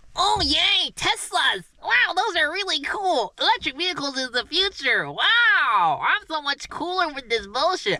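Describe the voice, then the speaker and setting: In a put-on character voice at an extremely high pitch, the speaker barely pauses at all. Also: moderate pace. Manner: mocking, silly, exaggerated cheer.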